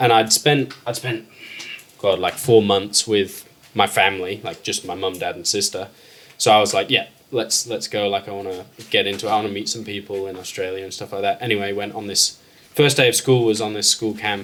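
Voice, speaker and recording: At a moderate pace, a man with a fairly low pitch keeps his intonation fairly even while his loudness swings widely. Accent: slight English. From England. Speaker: fishing enthusiast. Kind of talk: casual chat.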